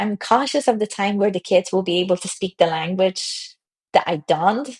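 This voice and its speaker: A woman's medium-pitched, somewhat breathy voice with a Polish accent, at a moderate pace, with a dry, close sound and no echo. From Poland. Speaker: tech founder. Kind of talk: podcast interview.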